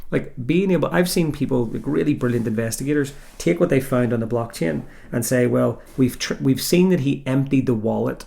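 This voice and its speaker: Lively intonation marks this man's speech. He talks in a Northern Irish accent. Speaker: podcast host, former criminal tax inspector. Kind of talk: casual interview chat.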